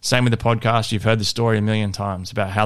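This man has an Australian accent and a fairly low pitch, with fairly even intonation on a very clean recording with a silent background. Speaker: fitness coach and podcast host. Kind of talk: solo podcast monologue. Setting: home studio. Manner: casual, conversational.

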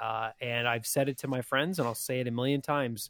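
An ordinary speaking voice from a man, fairly quick, with fairly even intonation and a dry, close sound with no echo. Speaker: podcast co-host. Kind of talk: casual chat.

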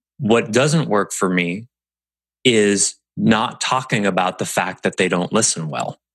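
A man talks at a fairly slow pace in an ordinary speaking voice. His pitch is fairly low with ordinary variation, and the background is quiet. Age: 40s. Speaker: podcast host and business coach. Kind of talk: solo podcast monologue.

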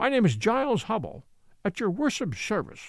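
The speaker uses a put-on character voice at a fairly high pitch and a moderate pace. The recording is very clean, with a silent background.

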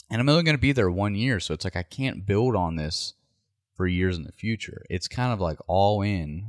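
An ordinary speaking voice, a man talks at a moderate pace and fairly low pitch with ordinary pitch variation, the sound dry and close with no echo in a very clean recording with a silent background. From West Virginia. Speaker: deer hunter. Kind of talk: casual chat.

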